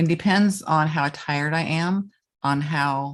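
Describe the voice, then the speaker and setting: A woman with an American accent, very deep and low in pitch, at a fairly slow pace with ordinary pitch variation. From US, Erie, Pennsylvania. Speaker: blind artist and marathoner. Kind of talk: interview. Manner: halting, with self-corrections.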